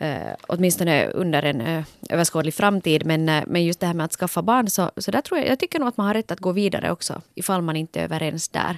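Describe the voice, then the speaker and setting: In a dry, close sound with no echo and a silent background on a very clean recording, a woman with a fairly low pitch talks at a very fast pace with ordinary pitch variation and hardly any pauses. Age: 40s. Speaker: podcast host. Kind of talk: casual chat.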